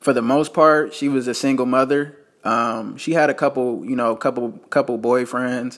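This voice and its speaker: This man has a normal speaking voice with an American accent, medium pitch, fairly even intonation and a moderate pace. The recording is very clean, with a silent background. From Las Vegas, Nevada. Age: 20s. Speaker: podcaster and entrepreneur. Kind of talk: personal storytelling monologue. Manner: casual, filler-heavy.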